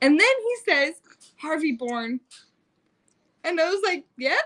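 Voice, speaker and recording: With an American accent, a woman speaks at an extremely high pitch and a very slow pace, her voice making very wide pitch swings over noticeable background noise. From Utah. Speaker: family vlogger, mother. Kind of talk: casual livestream chat. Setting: home livestream.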